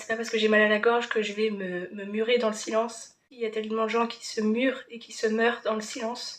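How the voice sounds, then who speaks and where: A woman with a fairly high pitch talks in a monotone, flat intonation while her loudness swings widely. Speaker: vlogger. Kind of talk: vlog monologue. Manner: halting.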